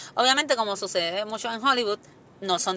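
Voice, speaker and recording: A woman's very fast speech, bright and sharp in tone, with ordinary pitch variation. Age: 30s. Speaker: podcast host. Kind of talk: casual chat.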